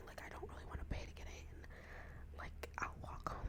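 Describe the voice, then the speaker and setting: A woman whispers over noticeable background noise. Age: 20s. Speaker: college student. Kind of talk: ASMR whisper ramble. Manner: whispered.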